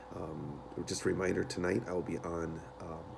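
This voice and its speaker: Soft-spoken, a man talks in a very deep, low pitch with fairly even intonation. Noticeable background noise is audible. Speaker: elementary school teacher. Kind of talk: tutorial. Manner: halting.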